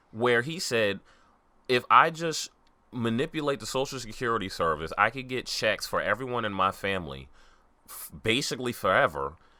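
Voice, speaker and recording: A man's bright, sharp voice with vocal fry, lively intonation, big swings in loudness and a slight Southern US accent. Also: medium pitch for a man, moderate pace. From New York. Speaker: podcast co-host. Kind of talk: casual chat.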